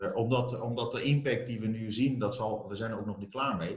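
At a fairly quick pace, a man talks in a normal speaking voice at medium pitch. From Armenia. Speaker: entrepreneur, company founder. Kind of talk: interview.

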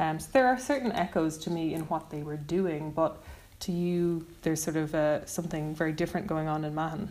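With an Irish accent, a woman talks at a fairly quick pace in a very deep, low pitch, showing ordinary pitch variation. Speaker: radio host. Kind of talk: casual chat.

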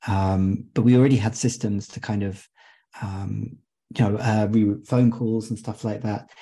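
A man's medium-pitched, dark and mellow voice, somewhat breathy, with fairly even intonation. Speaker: software company representative. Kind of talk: panel discussion. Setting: video call.

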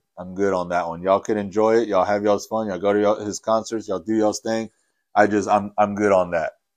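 A fairly low-pitched man over a quiet background. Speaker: podcast host. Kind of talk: casual monologue. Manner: halting, many fillers and repeats.

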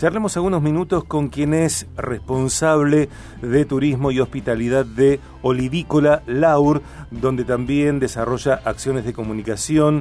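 Fairly slow, medium-pitched male speech with ordinary pitch variation, music playing behind it. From Argentina, Rosario. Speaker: radio host. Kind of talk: radio interview.

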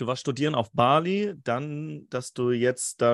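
A man of medium pitch talks at a very slow pace with lively intonation. The sound is dry and close, with no echo. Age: 30s. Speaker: podcast host. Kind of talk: casual interview. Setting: remote call.

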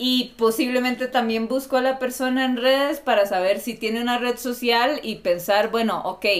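A woman speaks with a fairly high pitch. Her pace is moderate, and her pitch variation is ordinary. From Costa Rica. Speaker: graduate student. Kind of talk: casual chat.

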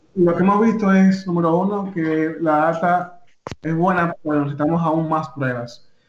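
At a moderate pace, a man with a high-pitched voice speaks with fairly even intonation. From Dominican Republic. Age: young. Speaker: technology official and AI entrepreneur. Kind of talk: radio interview.

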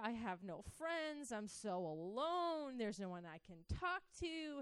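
With an American accent, a woman talks at a fairly slow pace in a fairly high pitch that swings very widely. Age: 30s. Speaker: church teacher. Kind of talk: sermon.

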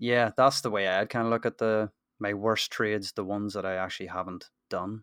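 A man with a Northern Irish accent talks at a fairly quick pace in a fairly low pitch, recorded dry and close with no echo, very clean against a silent background. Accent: Northern Irish, sounds very similar to host. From Northern Ireland. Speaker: football trading investor. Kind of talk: casual chat.

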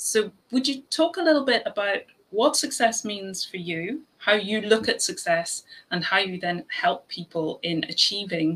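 A woman talks at a moderate pace and medium pitch. Her pitch swings very widely and her loudness shifts a lot. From Ireland. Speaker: podcast host. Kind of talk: casual chat.

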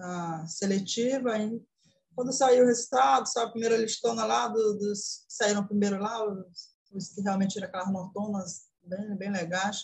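At a fairly slow pace, a woman speaks somewhat breathily in a fairly high pitch with ordinary pitch variation. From Brazil, interior of Pará. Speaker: accounting student. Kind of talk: interview.

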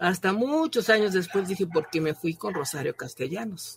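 A woman's somewhat breathy voice moves along at a moderate pace. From Mexico. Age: 80s+. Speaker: writer and professor. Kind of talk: podcast testimony.

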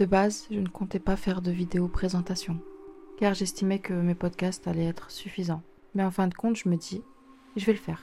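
A woman speaks at medium pitch and a moderate pace, her tone dark, mellow and somewhat breathy. Her intonation stays fairly even, with long, frequent pauses. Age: 20s. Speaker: podcaster and writer. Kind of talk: personal monologue.

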